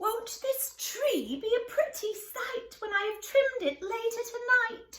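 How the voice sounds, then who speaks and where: Putting on a squeaky character voice with a gentle tone, a woman speaks at an extremely high pitch and a fairly slow pace, with ordinary pitch variation, big swings in loudness and hardly any pauses. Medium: read story. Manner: fretful, gentle.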